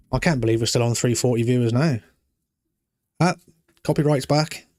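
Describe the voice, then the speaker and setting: A man's medium-pitched voice in a British accent, with ordinary pitch variation, a fairly quick pace and very even loudness. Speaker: live streamer. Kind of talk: live stream chat with viewers. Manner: calm.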